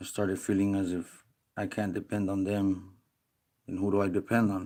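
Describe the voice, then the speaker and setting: On a very clean recording with a silent background, a man speaks at a moderate pace in a fairly low pitch, monotone and flat. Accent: American. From Texas, El Paso. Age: 30s. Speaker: vlogger reporting a complaint. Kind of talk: personal monologue vlog. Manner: halting.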